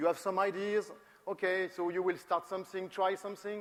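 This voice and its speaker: With a French accent, a man speaks in a high pitch. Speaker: company co-founder, design presenter. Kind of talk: conference presentation. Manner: halting, with many repetitions and fillers.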